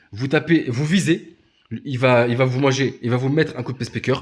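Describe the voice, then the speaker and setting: A somewhat breathy man's voice at medium pitch, fairly quick in pace, with ordinary pitch variation. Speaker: gaming youtuber. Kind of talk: gameplay tutorial. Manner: fast; halting, many hesitations.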